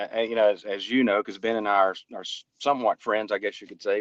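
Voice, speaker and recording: With a Southern US accent, a man talks at a very fast pace in a fairly low pitch, the sound dry and close with no echo. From North Alabama, US South. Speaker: private investigator. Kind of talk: casual interview conversation. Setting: remote call while on a road trip. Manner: halting, with many fillers and repeats.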